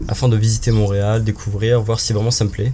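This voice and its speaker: Here a man speaks at a very fast pace in a fairly low pitch. Noticeable background noise runs underneath. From France, Paris region and Angers. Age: 20s. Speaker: expatriate, restaurant worker. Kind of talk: casual interview.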